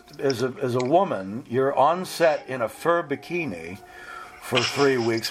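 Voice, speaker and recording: Noticeable background noise fills the clip while a man speaks very slowly. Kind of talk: casual interview.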